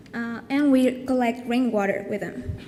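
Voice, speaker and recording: A woman speaks at a fairly high pitch and a moderate pace. Noticeable background noise and audible room echo fill the recording. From Colombia. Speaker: design student presenting a project. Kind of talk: conference presentation. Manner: hesitant, many fillers.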